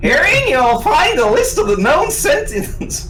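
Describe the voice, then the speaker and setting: An extremely high-pitched, put-on character voice with a playful tone moves at a fairly slow pace over clear background noise. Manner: silly, playful.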